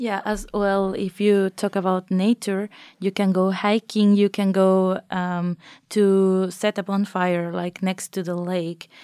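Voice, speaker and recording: A woman speaks very slowly in a Spanish accent, her medium pitch delivered with monotone, flat intonation and a dark, mellow tone. The recording is very clean, with a silent background and a dry, close sound with no echo. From Mexico. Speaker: master's student. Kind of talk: casual interview chat. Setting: studio.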